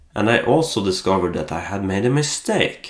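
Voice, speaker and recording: A man speaks at a moderate pace with a fairly low pitch and a Norwegian accent. His intonation is lively. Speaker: costume maker. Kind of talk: voice-over narration. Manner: hesitant, many filler pauses.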